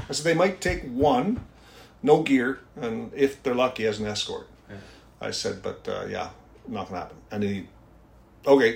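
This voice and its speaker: At a moderate pace, a man speaks in a somewhat breathy, medium-pitched voice with lively intonation. Long pauses come often, and his loudness swings widely. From Newfoundland. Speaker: helicopter rescue pilot. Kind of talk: casual interview chat.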